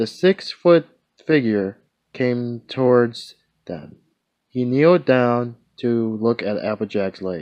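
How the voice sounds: The clip features a natural reading voice. Behind it, the background stays quiet.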